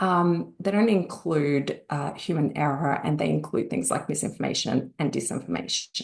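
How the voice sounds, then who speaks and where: With an Australian accent, a woman speaks at a moderate pace. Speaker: industry analyst. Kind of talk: webinar presentation. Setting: online webinar.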